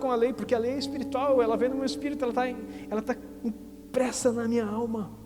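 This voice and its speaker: Amid music in the background and audible room echo, a man speaks at a fairly quick pace with an extremely high pitch. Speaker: pastor. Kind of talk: sermon. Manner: normally fast talker.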